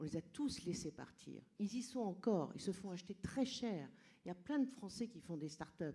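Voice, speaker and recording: Her tone is dark and mellow, somewhat breathy, at a medium pitch for a woman. She talks at a moderate pace with lively intonation. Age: 60s. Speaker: audience member, trainer and coach. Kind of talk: audience question at public debate. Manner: animated; halting.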